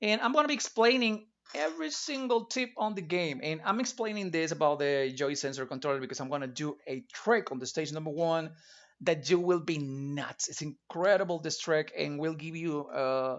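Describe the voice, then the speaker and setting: This man has a Spanish accent and a fairly high pitch. He talks at a moderate pace with lively intonation. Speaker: retro gaming streamer. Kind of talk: live gameplay stream commentary. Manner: halting, with repetitions.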